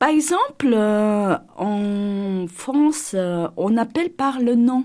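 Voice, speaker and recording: A woman speaks at medium pitch. Her pitch swings very widely. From South Korea, Seoul. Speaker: architect. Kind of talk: interview testimony. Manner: halting, many hesitations.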